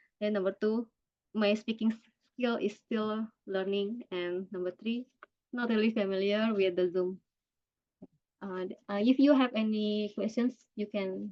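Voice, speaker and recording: The speaker talks at a fairly slow pace in an Indonesian accent, with fairly even intonation. Long pauses come often. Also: woman. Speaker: cancer survivor and workshop speaker. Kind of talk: online workshop presentation. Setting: video call. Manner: halting.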